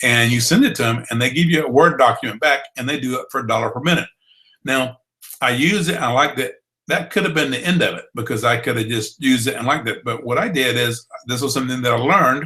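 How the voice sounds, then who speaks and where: This man has a medium-pitched voice with a bright, sharp tone and a Southern US accent. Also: ordinary pitch variation. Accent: Southern accent, drawl. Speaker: blogging trainer. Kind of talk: online training webinar. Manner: conversational, with fillers.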